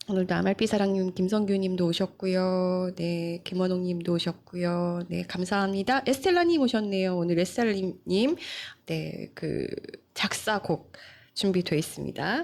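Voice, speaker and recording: A woman with a medium pitch speaks at a fairly slow pace, her intonation fairly even. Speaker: news show host, journalist. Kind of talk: live-stream news talk show. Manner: conversational, many fillers.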